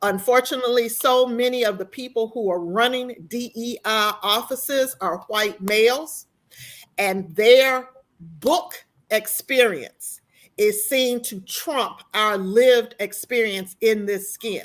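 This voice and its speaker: With an American accent, a woman talks in a plain, everyday voice at a fairly slow pace, her fairly high pitch moving with ordinary variation. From US South. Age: 60s. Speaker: university compliance officer. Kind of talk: panel discussion.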